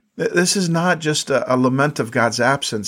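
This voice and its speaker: At a moderate pace, a man with a fairly high pitch and ordinary pitch variation talks in an ordinary speaking voice. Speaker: podcast host and Bible teacher. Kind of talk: fervent closing prayer, spoken aloud to God, earnest and pleading; devotional teaching, scripture study talk.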